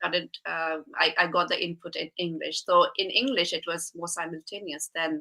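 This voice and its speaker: This woman talks at a moderate pace with hardly any pauses, in a fairly low pitch and a Bengali accent. Her tone is bright and sharp. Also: ordinary pitch variation. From India (Shillong, northeast). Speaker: speech and language therapist, programme presenter. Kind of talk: casual interview chat.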